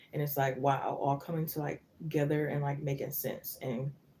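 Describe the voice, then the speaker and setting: A woman speaks at a very deep, low pitch, soft-spoken and somewhat breathy, in a dark, mellow tone. Her pace is fairly quick, her intonation monotone and flat. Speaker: tarot reader. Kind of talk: live tarot reading. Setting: live stream.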